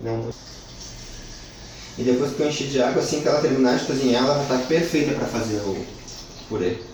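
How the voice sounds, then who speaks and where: A man's medium-pitched voice at a fairly quick pace, broken by long, frequent pauses, with noticeable background noise and audible room echo. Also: ordinary pitch variation. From southern Brazil, Porto Alegre. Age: 30s. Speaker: cook. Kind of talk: tutorial. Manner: casual, with fillers.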